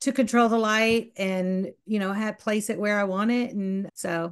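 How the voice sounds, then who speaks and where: Speaking with a Southern accent, a woman has a fairly high pitch against a quiet background. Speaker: photographer. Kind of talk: casual chat.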